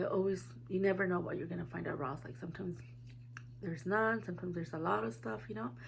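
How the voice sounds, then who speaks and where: A woman with an American accent talks at a very fast pace in a fairly low pitch with very wide pitch swings. Room echo is audible. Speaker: beauty vlogger. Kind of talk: casual chat.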